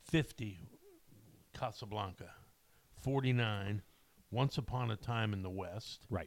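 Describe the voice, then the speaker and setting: A man speaks at a very slow pace, with long, frequent pauses. His pitch is fairly low, with ordinary pitch variation. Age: 60s. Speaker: podcast co-host. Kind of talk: casual chat. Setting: studio.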